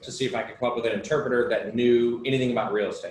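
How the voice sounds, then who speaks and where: Noticeable background noise behind a male voice of medium pitch. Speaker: real estate investor. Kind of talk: casual chat. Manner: fast; animated.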